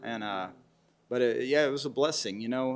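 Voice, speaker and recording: A man speaks in a West Texas accent. His pitch is medium, with ordinary pitch variation. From West Texas (Lubbock). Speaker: Americana musician. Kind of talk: interview. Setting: theatre.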